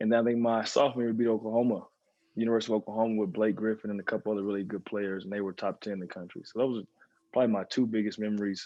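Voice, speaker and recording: A man speaks at a very fast pace with a medium pitch. His intonation is fairly even, with an American accent. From Texas (Dallas). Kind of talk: casual chat. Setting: video call.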